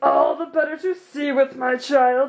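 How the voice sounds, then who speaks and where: This is a put-on character voice, pitched high and delivered at a moderate pace. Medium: read story.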